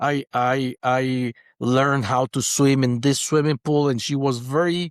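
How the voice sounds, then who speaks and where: A man at a medium pitch with a Spanish accent, at a fairly slow pace, in a dry, close sound with no echo and a very clean recording with a silent background. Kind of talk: interview conversation. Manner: halting.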